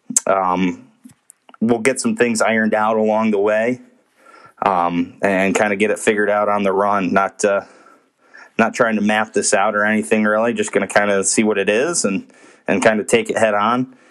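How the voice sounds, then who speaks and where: This man has an ordinary speaking voice with a fairly low pitch. His pace is moderate. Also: fairly even intonation. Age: 30s. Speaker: sports podcast host. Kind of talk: casual solo monologue. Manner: casual with frequent fillers.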